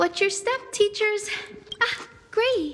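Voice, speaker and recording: Someone puts on a squeaky character voice. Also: woman, extremely high pitch for a woman. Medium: video game. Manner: soft-spoken, polite.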